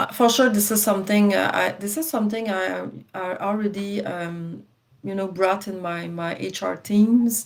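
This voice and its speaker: A woman in a French accent, medium pitch with ordinary pitch variation, at a moderate pace. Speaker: successful exam candidate. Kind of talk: interview. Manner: halting, many repetitions and fillers.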